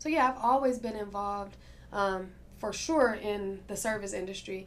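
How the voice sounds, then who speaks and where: A woman with an American accent talks at a moderate pace, her medium pitch showing ordinary variation. Music plays in the background, and the room echo is audible. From Milwaukee, Wisconsin, US Midwest. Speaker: restaurant owner. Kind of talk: interview.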